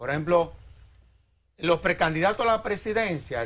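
His pitch sits high for a man. The intonation is lively. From Dominican Republic. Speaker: lawyer and civil society executive; interview guest. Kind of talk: TV interview. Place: studio. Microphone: lapel.

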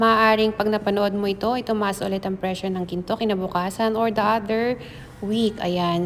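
At a moderate pace, a woman talks in a fairly high pitch with an unremarkable speaking voice. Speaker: vlogger. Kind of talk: casual vlog narration. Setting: in a car then gold shop.

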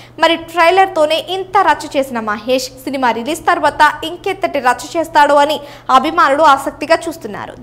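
This woman's voice sits high in pitch and shows ordinary pitch variation. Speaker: news presenter. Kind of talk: entertainment news voice-over.

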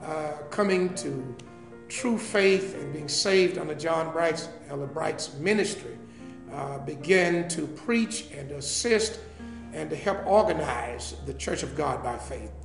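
A man speaks at a very slow pace, his loudness swinging widely. Audible room echo and clear music fill the background. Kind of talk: interview answer.

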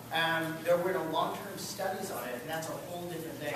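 A man speaks in a room with audible echo. Loud background noise is present. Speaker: landscape contractor and presenter. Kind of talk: presentation to a live audience. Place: meeting room. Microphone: camera far.

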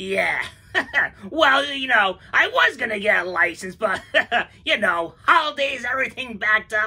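A female-sounding voice at a fairly high pitch, done as a cartoonish character. The pace is moderate. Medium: puppet show. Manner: brash, wisecracking salesman patter.

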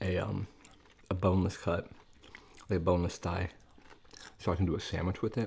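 A man speaks fairly quickly in a very deep, low, somewhat breathy voice. His intonation stays monotone and flat. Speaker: food video creator. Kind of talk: casual vlog chat while eating. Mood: relaxed, chatty.

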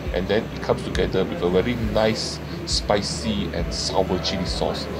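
Music plays in the background as a man speaks. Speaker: food vlogger. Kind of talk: food review commentary. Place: market.

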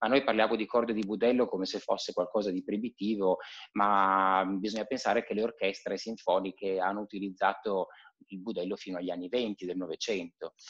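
Over a quiet background, a man with a normal speaking voice talks at a fairly quick pace, his fairly low pitch held in fairly even intonation. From Piedmont, Italy. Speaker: cellist and conservatory teacher. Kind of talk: casual interview chat. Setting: live video call. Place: home room. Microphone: video call.

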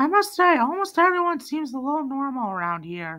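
A cartoonish character voice, high-pitched, with very wide pitch swings. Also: fairly quick pace. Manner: polite, measured.

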